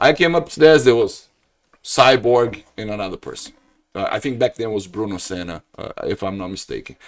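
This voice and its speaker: Someone with a northeastern Brazilian accent speaks at a moderate pace, with lively intonation and big swings in loudness. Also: man, medium pitch for a man. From Brazil, Ceará (Northeast). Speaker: jiu-jitsu practitioner. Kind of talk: casual chat.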